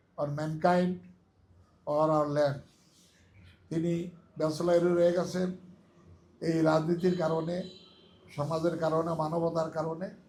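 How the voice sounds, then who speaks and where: A high-pitched male voice with monotone, flat intonation. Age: 70s. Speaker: lawyer and election advisor. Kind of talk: campaign speech.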